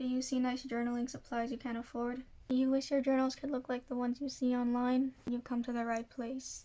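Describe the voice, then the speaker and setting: Fairly quick and with hardly any pauses, a woman talks at a high pitch in a dark, mellow tone, her intonation monotone and flat. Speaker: journaling hobbyist; journaling vlogger. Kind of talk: casual tutorial voiceover. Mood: soft, friendly. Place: home room. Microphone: phone near.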